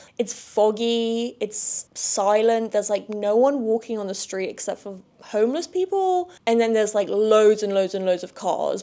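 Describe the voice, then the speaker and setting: A woman with a southern English accent, fairly high in pitch, ordinary in pitch variation, at a moderate pace. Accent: southern English (London area). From London suburbs, England. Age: 20s. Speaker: podcast host. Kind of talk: casual solo chat.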